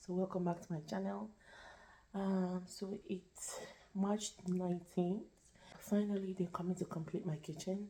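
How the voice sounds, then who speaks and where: The speaker is soft-spoken and somewhat breathy, with a dark, mellow tone. The pace is fairly slow, with fairly even intonation and long, frequent pauses. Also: woman, medium pitch for a woman. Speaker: home vlogger. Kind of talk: casual vlog. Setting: at home.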